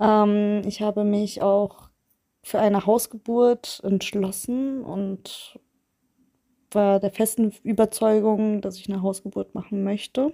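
A woman's medium-pitched voice, dark and mellow, flat and monotone at a very slow pace, dry and close with no echo on a very clean recording with a silent background. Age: 30s. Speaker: listener sharing experience. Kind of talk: testimony.

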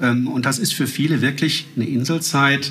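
There is noticeable background noise and some audible echo from the room as a man talks. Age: 40s. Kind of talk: casual interview. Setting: at home over coffee.

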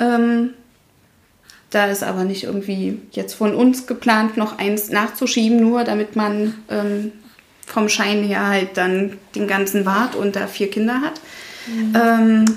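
Very slowly and with long, frequent pauses, a woman talks in a fairly high pitch with monotone, flat intonation over noticeable background noise. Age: 30s. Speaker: mother sharing miscarriage experience, former dental worker. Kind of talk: interview, personal testimony.

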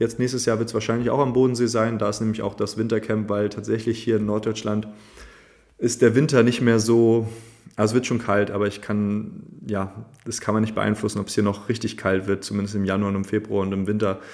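In a monotone, flat intonation, a man speaks at a fairly low pitch. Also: fairly quick pace. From northern Germany, Schleswig-Holstein. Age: 20s. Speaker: movement teacher. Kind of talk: casual interview.

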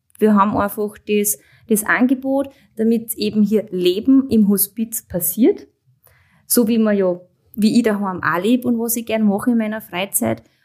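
A woman talks at a moderate pace with ordinary pitch variation. Her voice is fairly high in pitch and somewhat breathy. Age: 30s. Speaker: hospice manager and nurse. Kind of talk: interview.

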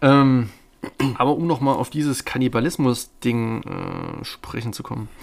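A man's medium-pitched voice shows big swings in loudness while his intonation remains fairly even. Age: 20s. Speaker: film podcast co-host. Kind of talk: casual chat; film analysis discussion. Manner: hesitant, many fillers.

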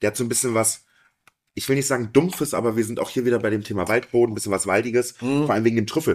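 Against a very clean recording with a silent background, a man of medium pitch speaks at a very fast pace with fairly even intonation. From Harz, Saxony-Anhalt. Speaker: sommelier. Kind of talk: casual chat.

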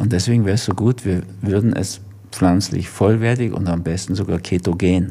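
There is noticeable background noise as a man with a fairly low voice speaks at a moderate pace with fairly even intonation. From Germany. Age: 70s. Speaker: physician and author. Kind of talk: interview.

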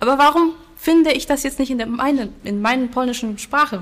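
A woman speaks with a Silesian accent. Her pitch is high. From Poland, Silesia. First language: Silesian (speaking German). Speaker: language teacher. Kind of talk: interview.

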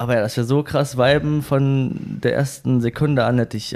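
A man's fairly high-pitched, fairly slow delivery in a plain, everyday voice. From northern Germany. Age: 20s. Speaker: running community leader and event organizer. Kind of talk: casual interview.

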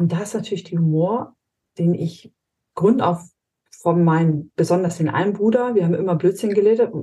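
A woman's dark, mellow tone comes across somewhat breathy. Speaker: high impact coach and strengths trainer. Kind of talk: casual interview chat. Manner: blunt, short and snappy.

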